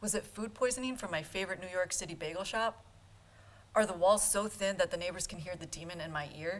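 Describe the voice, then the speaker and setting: At a fairly quick clip, a woman speaks, her pitch rising and falling in an ordinary way. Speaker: medical student. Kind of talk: storytelling performance.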